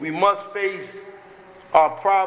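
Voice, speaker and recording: Raising and projecting his high-pitched voice, a man speaks at a fairly slow pace with fairly even intonation, with audible room echo and noticeable background noise. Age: 60s. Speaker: recovering addict sharing at a recovery meeting. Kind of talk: recovery meeting share.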